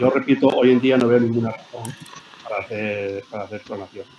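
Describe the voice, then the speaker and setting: Fairly quick speech from a man with fairly even intonation, against noticeable background noise. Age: 70s. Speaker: scientist. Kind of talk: interview. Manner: halting, with frequent repetitions.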